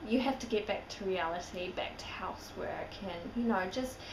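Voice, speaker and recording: A woman's medium-pitched voice at a moderate pace, her intonation fairly even, amid noticeable background noise and audible room echo. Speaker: vlogger. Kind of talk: casual vlog.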